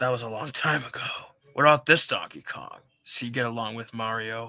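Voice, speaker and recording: A man puts on a raspy, medium-pitched character voice, talking at a fairly quick pace with fairly even intonation and big swings in loudness. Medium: game stream. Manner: terse, gravelly.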